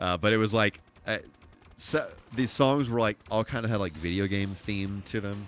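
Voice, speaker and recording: Music plays behind a man speaking at a moderate pace. His fairly low pitch shows ordinary variation. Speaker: gaming streamer and cover singer. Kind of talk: live stream gaming chat. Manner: halting, many fillers and repeats.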